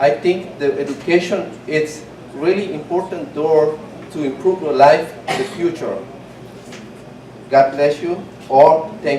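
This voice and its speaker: A man's fairly high voice in a Spanish accent, fairly slow with long, frequent pauses and ordinary pitch variation, amid noticeable background noise and audible room echo. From Guatemala. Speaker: adult English student and small business owner. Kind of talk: prepared testimony.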